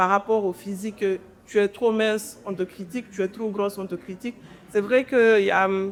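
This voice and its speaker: This woman's voice sits at a medium pitch. She talks in a flat monotone. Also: moderate pace. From Guinea. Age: 20s. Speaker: entrepreneur and content creator. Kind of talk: interview conversation.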